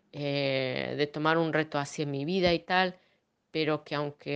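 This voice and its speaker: Over a quiet background, a woman with a very deep, low pitch speaks very slowly with fairly even intonation. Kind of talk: casual chat. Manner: halting, many fillers.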